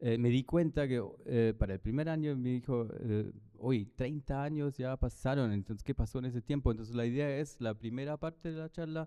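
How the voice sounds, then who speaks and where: At a moderate pace, a man with a German accent speaks at medium pitch with ordinary pitch variation. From Germany. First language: German (speaking Spanish). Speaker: architect and professor. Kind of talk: lecture presentation. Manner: halting, many fillers.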